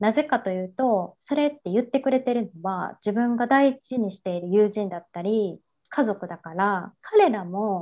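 An unremarkable speaking voice moves at a moderate pace with ordinary pitch variation. Its loudness swings widely. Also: woman, medium pitch for a woman. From Japan, Kansai. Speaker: women's support business founder. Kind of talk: interview.

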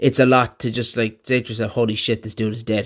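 A man with an Irish accent talks at a fairly quick pace and medium pitch. His intonation is monotone and flat, on a very clean recording with a silent background. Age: 30s. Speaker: podcast host. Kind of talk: casual monologue.

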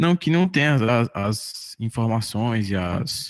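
In a normal speaking voice, a man talks at medium pitch with lively intonation, in a dry, close sound with no echo. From Sobral, Ceará, Brazil. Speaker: music student and podcast editor. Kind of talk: casual chat.

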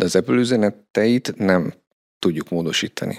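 A man talks at a moderate pace. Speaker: performance marketing manager. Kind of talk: interview.

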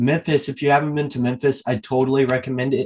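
Somewhat breathy and fairly high in pitch, a man talks with an American accent. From El Paso, Texas. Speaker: podcast host. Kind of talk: casual interview.

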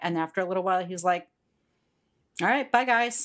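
A woman with an American accent has an unremarkable speaking voice and fairly even intonation, recorded very cleanly against a silent background. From Pittsburgh, Pennsylvania. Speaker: podcast co-host, school district worker. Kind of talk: casual chat.

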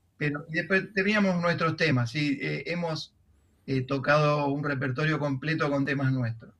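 The man's pitch is fairly high, with ordinary pitch variation, and his pace is moderate. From Argentina, southern Santa Fe province. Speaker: composer and music teacher. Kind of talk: interview. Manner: halting.

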